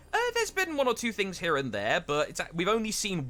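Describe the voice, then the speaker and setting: Over music in the background, a man talks at a fairly quick pace with an English accent. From England. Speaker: esports caster. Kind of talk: live commentary.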